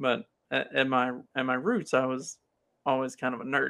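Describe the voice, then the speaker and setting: Moderately paced speech from a man with an American accent, medium in pitch and bright and sharp in tone, on a very clean recording with a silent background. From US South, Kentucky. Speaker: podcast host. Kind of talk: casual chat.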